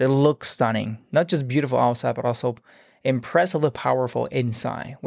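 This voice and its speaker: In a very clean recording with a silent background and a dry, close sound with no echo, a man speaks in a plain, everyday voice at medium pitch with ordinary pitch variation. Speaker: podcast host. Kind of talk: interview, conversational.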